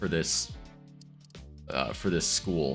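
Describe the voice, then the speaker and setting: A man speaks with music in the background. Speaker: city-builder gameplay YouTuber. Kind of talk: casual gameplay commentary.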